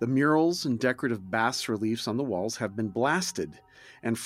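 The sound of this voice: An unforced reading voice, pitch moving in an ordinary way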